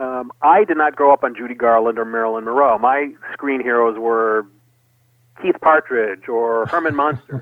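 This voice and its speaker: Moderate in pace, an ordinary speaking voice carries ordinary pitch variation. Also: man, medium pitch for a man. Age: 40s. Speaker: television memorabilia collector and curator. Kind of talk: interview.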